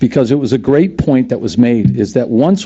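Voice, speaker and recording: Dark, mellow tone from a man at medium pitch and a fairly quick pace. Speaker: resident speaking at public comment. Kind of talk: public comment at town meeting. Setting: town committee meeting. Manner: fast; halting, many repetitions.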